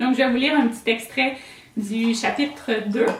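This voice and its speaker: A woman with a Quebec accent at a fairly slow pace, ordinary pitch variation, audible room echo and noticeable background noise. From Quebec, rural south. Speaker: novelist. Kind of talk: author talk. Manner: halting, many fillers.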